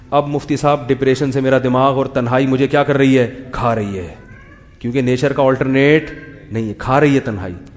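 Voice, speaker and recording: A man at medium pitch with fairly even intonation, over noticeable background noise. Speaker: Islamic scholar giving a sermon. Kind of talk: religious lecture with humorous commentary.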